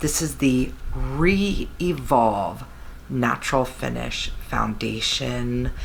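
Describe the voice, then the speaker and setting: A woman speaks quietly at a very slow pace, with audible room echo and noticeable background noise. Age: 40s. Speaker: beauty vlogger. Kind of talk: product review. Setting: home, beside napping baby. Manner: lowered, quieter voice; casual with fillers.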